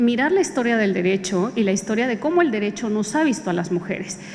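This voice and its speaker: With noticeable background noise and audible room echo, a woman talks at a fairly quick pace in a fairly high pitch with lively intonation. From Guatemala. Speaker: jurist and expert witness. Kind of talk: conference talk. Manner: formal, with frequent hesitations.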